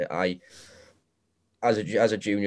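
On a very clean recording with a silent background, the speaker uses fairly even intonation in a South Wales accent. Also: man. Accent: South Wales (Swansea). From Wales, Morriston, Swansea. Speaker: assistant golf professional. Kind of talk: casual chat.

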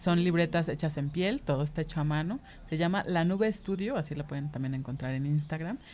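Her very deep, low pitch and dark, mellow tone carry this woman's fairly quick speech, with ordinary pitch variation. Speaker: designer and singer. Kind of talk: casual interview.

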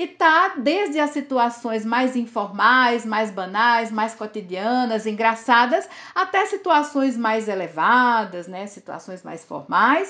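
A woman with a fairly high, bright, sharp voice, at a very slow pace with hardly any pauses, very wide pitch swings and big swings in loudness, against a quiet background. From Northeast Brazil, Campina Grande, Paraíba. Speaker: linguistics professor. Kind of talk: interview.

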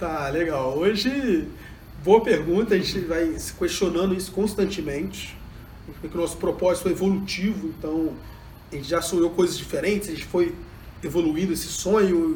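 With long, frequent pauses, a man speaks at a fairly quick pace and a high pitch, with audible room echo. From Brazil, Juiz de Fora (Minas Gerais). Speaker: education entrepreneur, leadership trainer. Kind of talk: interview.

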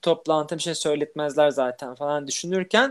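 A man's moderately paced talking comes through on a very clean recording against a silent background. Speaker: podcast co-host who stutters. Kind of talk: casual chat.

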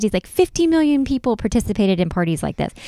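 A woman with an American accent talks at a very fast pace in a dark, mellow tone, her medium pitch making very wide swings. The recording is very clean, with a silent background and a dry, close sound with no echo. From North Carolina, US South. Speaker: podcast co-host. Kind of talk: casual chat.

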